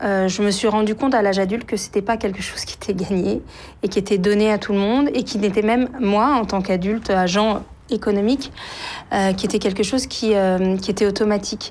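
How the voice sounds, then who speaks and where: The woman speaks with a medium pitch. Her pace is fairly quick and her intonation fairly even. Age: 40s. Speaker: writer and journalist. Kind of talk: interview testimony. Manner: halting, many hesitations.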